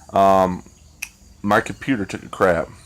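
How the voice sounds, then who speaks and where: The speaker is a man with a fairly low-pitched voice. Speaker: YouTuber vlogger. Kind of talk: casual vlog monologue. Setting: outdoors under a canopy. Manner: low-energy; hesitant, filler-heavy.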